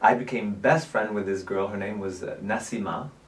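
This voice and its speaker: A man talks at a moderate pace with ordinary pitch variation. Noticeable background noise and audible room echo fill the recording. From southern France, Nîmes. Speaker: actor, producer and director. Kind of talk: interview.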